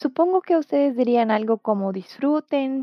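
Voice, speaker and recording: With a Portuguese accent, a woman speaks with lively intonation. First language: Portuguese (speaking Spanish). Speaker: Portuguese language teacher. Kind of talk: language lesson. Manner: slow, clear enunciation for repetition.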